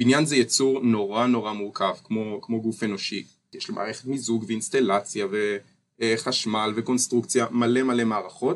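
A man speaks in a normal speaking voice at medium pitch. His pace is moderate and his intonation fairly even. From Israel, Ness Ziona. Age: 20s. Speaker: architecture student. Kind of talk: interview.

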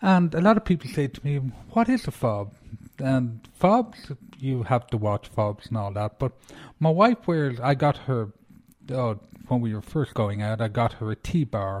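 A man speaks in an Irish accent, somewhat breathy, with a medium pitch and lively intonation. The sound is dry and close, with no echo. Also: fairly slow pace. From Ireland. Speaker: antiques show host. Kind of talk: podcast monologue about antiques. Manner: informal, somewhat halting with repeated words.

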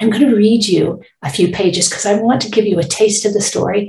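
Using a plain, everyday voice, the woman talks at a medium pitch that varies in an ordinary way. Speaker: author. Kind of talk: author reading her picture book aloud, storytelling narration. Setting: recorded promotional audio intro. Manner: gentle, warm, expressive read-aloud pacing; clear, measured, child-friendly.

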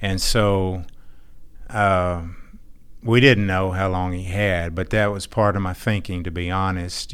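In an American accent, a man with a very deep, low pitch speaks at a fairly slow pace in a monotone, flat intonation, with audible room echo. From Texas. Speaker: church member. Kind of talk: testimony.

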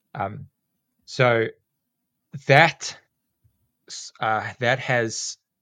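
A man speaks at a medium pitch with a bright, sharp tone and fairly even intonation. The recording is very clean, with a silent background. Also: long, frequent pauses. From South Africa. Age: 40s. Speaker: teacher and snake catcher. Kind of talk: casual interview chat. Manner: rambling, with many fillers.

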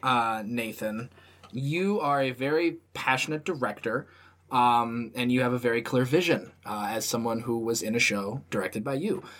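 A man talks at medium pitch and a moderate pace in an unremarkable speaking voice. His pitch varies in an ordinary way, on a very clean recording with a silent background. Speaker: podcast host. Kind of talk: casual chat.

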